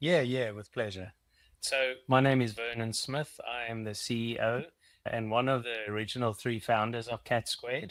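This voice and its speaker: Speaking with a South African accent, a man at medium pitch keeps a moderate pace and fairly even intonation. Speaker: company CEO. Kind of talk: interview.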